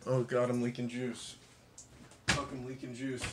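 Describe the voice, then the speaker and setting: Background noise is loud. Through it, a man talks. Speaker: vlogger. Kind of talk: casual vlog chat. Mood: disgusted, amused, agitated. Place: kitchen. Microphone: phone near.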